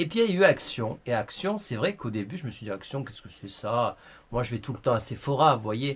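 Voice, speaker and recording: A man talks at a fairly quick clip with hardly any pauses, his pitch medium and his intonation lively. His voice is somewhat breathy, and its loudness swings widely. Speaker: beauty YouTuber. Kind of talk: vlog monologue to camera. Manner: animated.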